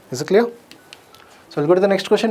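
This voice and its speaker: Noticeable background noise sits behind a man with a high voice and lively intonation. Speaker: exam coaching teacher. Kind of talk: lecture. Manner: fast.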